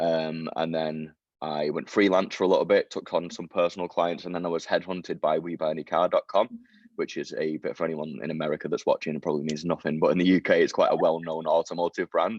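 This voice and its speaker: A man with a Mancunian accent speaks at a very fast pace. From Manchester, northern England. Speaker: SEO expert. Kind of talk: interview.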